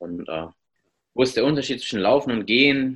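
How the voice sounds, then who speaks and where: A man is talking here. His pace is fairly quick. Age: 30s. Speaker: obstacle racer and running coach. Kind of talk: casual interview.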